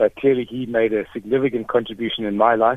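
A man with a medium-pitched, ordinary speaking voice talks at a fairly quick pace. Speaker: caller, former student. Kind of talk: radio call-in tribute. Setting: phone call.

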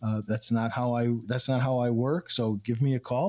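On a very clean recording with a silent background, a man speaks in an ordinary speaking voice. His pitch is medium and his pace moderate. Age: 60s. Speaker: financial advisor and radio show guest expert. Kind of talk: radio talk show chat.

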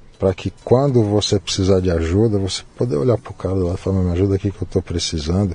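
A man speaks with a very deep, low voice. His pace is fairly quick. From Brazil, São Paulo. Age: 50s. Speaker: Japanese cuisine chef. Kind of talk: casual interview conversation.

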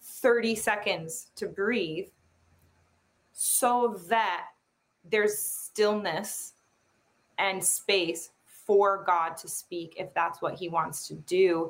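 In an American accent, a woman talks at medium pitch with fairly even intonation. She speaks very slowly. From Chicago suburbs, US Midwest. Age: 30s. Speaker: prophetic ministry team member. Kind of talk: faith interview on live stream.

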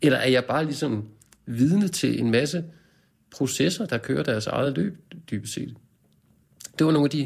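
Vocal fry from a man at a medium pitch, lively in intonation, moderate in pace, with long, frequent pauses. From Denmark, Copenhagen suburbs. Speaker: poet and translator. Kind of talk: casual interview.

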